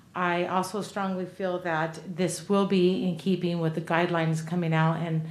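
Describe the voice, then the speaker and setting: A woman's fairly low, monotone, flat delivery with hardly any pauses and audible room echo. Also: moderate pace. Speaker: city council member. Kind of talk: council meeting deliberation. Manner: normally loud. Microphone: too quiet at first, not speaking into mic.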